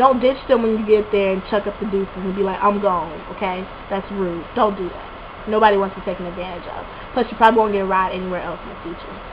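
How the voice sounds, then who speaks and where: A woman talks at a fairly quick pace with a medium pitch. Background noise is noticeable. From Alabama, Montgomery. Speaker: college student vlogger. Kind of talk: casual advice vlog. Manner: fast; animated.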